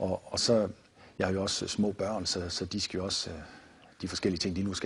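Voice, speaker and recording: Over light background noise, a man speaks in a very deep, low, somewhat breathy voice with monotone, flat intonation. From Denmark, Viborg; Denmark. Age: 50s. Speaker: martial arts founder and author; martial arts teacher. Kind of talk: TV interview. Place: studio.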